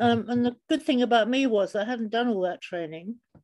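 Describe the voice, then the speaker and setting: A woman with a London accent at a moderate pace over a quiet background. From suburban London. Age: 70s. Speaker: photographer and artist. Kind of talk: interview.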